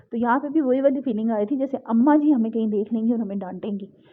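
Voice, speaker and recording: Shaky delivery with fairly even intonation. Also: woman. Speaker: vlogger. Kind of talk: vlog voice-over narration. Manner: shivering, trembling voice; casual chatty.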